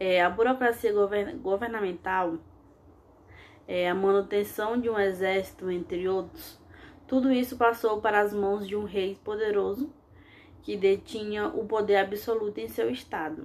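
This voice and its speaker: With a normal speaking voice, a woman talks fairly slowly at medium pitch with ordinary pitch variation. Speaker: history teacher. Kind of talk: lecture. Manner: frequent fillers and self-corrections.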